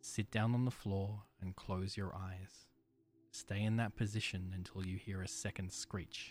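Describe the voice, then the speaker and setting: A man with a fairly low voice, flat and monotone, at a fairly slow pace over music in the background. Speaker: horror story narrator. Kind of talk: creepypasta horror narration, first-person, read aloud in a hushed, ominous tone. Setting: studio. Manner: slow, deliberate, suspenseful.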